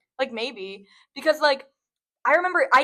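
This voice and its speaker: A woman projects her voice loudly in a bright, sharp tone. She moves at a fairly quick pace with ordinary pitch variation. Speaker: podcast co-host. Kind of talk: casual chat. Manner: fast.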